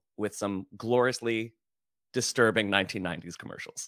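A man with a medium pitch and a bright, sharp tone. The recording is very clean with a silent background, and the sound is dry and close with no echo. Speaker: drag performer. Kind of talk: casual chat. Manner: halting.

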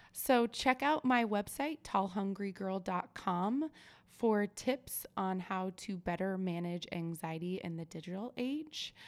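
With a West Coast accent, a woman speaks at a fairly slow pace and medium pitch with lively intonation on a very clean recording with a silent background. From Oregon. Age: 30s. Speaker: podcast host. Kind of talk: casual interview chat.

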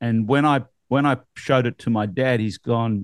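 A man's voice sits at a medium pitch, delivered with an Australian accent. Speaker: real estate podcast host. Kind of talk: casual chat. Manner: animated.

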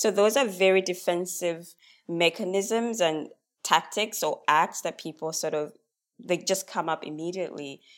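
With music in the background, a woman talks at a moderate pace, her fairly low voice showing ordinary pitch variation. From Zambia. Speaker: racial equity consultant. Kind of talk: podcast interview.

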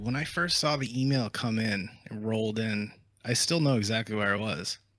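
The speaker has a plain, everyday voice and a moderate pace, captured in a very clean recording with a silent background. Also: man, medium pitch for a man, ordinary pitch variation. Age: 30s. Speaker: content creator and musician. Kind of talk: casual chat.

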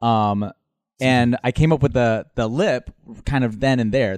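In an American accent, a man speaks at a moderate pace and medium pitch. His pitch variation is ordinary, and the background is quiet. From Minnesota. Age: 30s. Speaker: drag performer. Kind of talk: interview.

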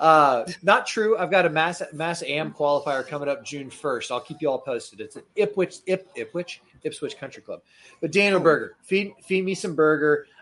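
An ordinary speaking voice from a man, fairly high in pitch, with an American accent, moderate pace and ordinary pitch variation. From Florida. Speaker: podcast host. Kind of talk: casual banter about golf betting. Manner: casual, rambling, joking.

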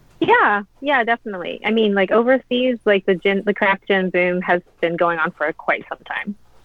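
In an American accent, the speaker goes on with hardly any pauses against noticeable background noise. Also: woman, medium pitch for a woman, ordinary pitch variation, moderate pace. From US South, Louisiana. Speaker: food and drink writer. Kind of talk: casual interview. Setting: video call.

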